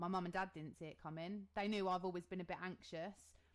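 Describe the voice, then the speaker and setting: Speaking in an English accent, a woman's voice rests at a medium pitch. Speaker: podcast co-host. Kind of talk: casual chat. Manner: loud; animated.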